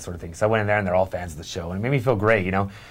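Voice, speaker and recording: A very fast, animated male voice with an American accent. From Arizona, Lake Havasu City. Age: 30s. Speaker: radio host. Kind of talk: casual chat. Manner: halting.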